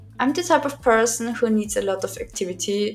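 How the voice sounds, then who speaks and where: A woman speaks with a German accent. Her pitch varies in an ordinary way. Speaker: art vlogger and university student. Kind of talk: scripted voiceover narration. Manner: sometimes swallows or mispronounces words.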